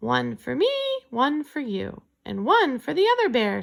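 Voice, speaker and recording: At a moderate pace, a woman performs in a put-on character voice. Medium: read story.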